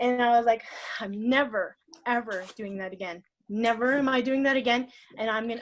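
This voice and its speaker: This woman's voice sits fairly high, with fairly even intonation. She talks at a fairly quick pace. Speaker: network marketing leader. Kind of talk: motivational talk. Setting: conference call. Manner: fast.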